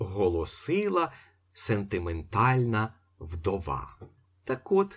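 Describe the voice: What you hear is plain reading aloud.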